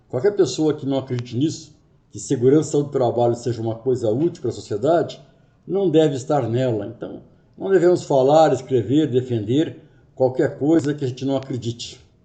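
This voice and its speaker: Somewhat breathy and dark, mellow in tone, a man at a medium pitch speaks at a moderate pace with ordinary pitch variation and audible room echo. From Brazil, Rio de Janeiro. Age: 50s. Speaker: workplace safety consultant and trainer. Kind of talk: lecture.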